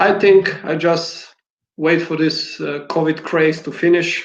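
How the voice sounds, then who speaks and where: A man speaks with a non-native accent at a fairly high pitch. His intonation is flat and monotone. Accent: foreign. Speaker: basketball coach. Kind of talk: interview.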